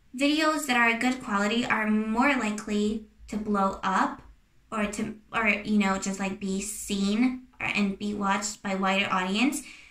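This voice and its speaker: A woman's fairly slow, fairly even delivery amid noticeable background noise and audible room echo. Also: fairly high pitch for a woman. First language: not English. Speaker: YouTuber. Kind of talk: casual advice talk to camera. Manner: hesitant, many fillers and restarts.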